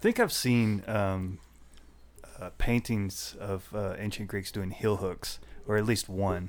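Here a man talks at a very slow pace. His fairly low voice has monotone, flat intonation. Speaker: podcast host. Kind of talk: casual chat.

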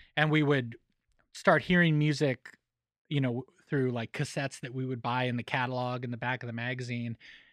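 A man with an ordinary speaking voice and an American accent, medium pitch, fairly even intonation and a fairly quick pace, in a dry, close sound with no echo over a quiet background. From Colorado (Boulder County). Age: 40s. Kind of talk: casual chat. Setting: studio.

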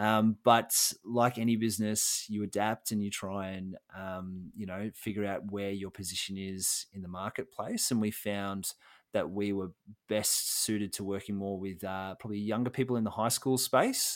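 In an Australian accent, the speaker delivers monotone, flat intonation at a moderate pace on a very clean recording with a silent background. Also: man, fairly low pitch for a man. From Australia, Melbourne. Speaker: social enterprise co-founder and career coach. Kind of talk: interview. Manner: halting, many fillers and restarts.

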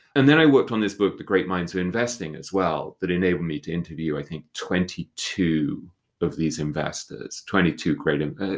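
Very deep and low in pitch, a man's voice makes very wide pitch swings at a moderate pace on a very clean recording with a silent background. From UK. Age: 50s. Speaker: writer. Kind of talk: casual chat.

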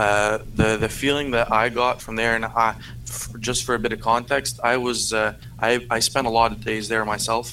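In a bright, sharp tone, a man talks at a medium pitch and moderate pace with monotone, flat intonation. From Canada. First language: French. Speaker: convoy supporter caller. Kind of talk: debate. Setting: remote call from PC.

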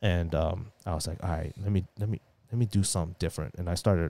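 A man with a very deep, low pitch, a dark, mellow tone, and vocal fry speaks at a moderate pace with ordinary pitch variation. The recording is very clean with a silent background, and the sound is dry and close with no echo. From US, moved from Taiwan at about five or six. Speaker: finance and sports card collector. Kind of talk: casual chat.

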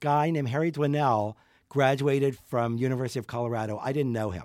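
A man with a normal speaking voice and an American accent talks at a fairly quick pace, his medium pitch carried by lively intonation. The sound is dry and close with no echo, in a very clean recording with a silent background. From US, Pittsburgh. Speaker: portrait photographer. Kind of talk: casual interview chat. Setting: in person, studio.

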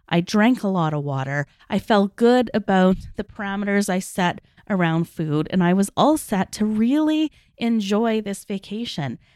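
An unremarkable speaking voice from a woman, medium in pitch with lively intonation and a moderate pace, dry and close with no echo, in a very clean recording with a silent background. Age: 40s. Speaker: podcast host, life and weight loss coach. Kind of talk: casual solo monologue.

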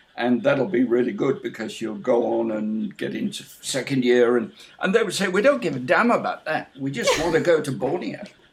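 Behind noticeable background noise, a man with a fairly high pitch speaks at a moderate pace. His pitch swings very widely, and he hardly pauses. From northern England, Hull. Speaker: biology professor. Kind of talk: interview. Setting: video call. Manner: halting.

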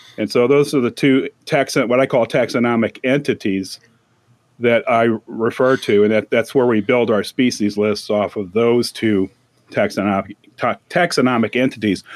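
A man with an American accent has an ordinary speaking voice, medium in pitch with ordinary pitch variation. He keeps a moderate pace and very even loudness. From St. Louis suburbs, Missouri. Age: 60s. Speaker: retired university employee, podcaster. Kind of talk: casual chat.

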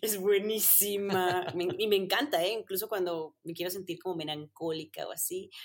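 With a strong Mexican accent, a woman talks at a moderate pace and medium pitch, with ordinary pitch variation and hardly any pauses. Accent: strong Mexican accent picked up. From Colombia, Medellín. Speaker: content creator and former racing driver. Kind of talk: casual interview.

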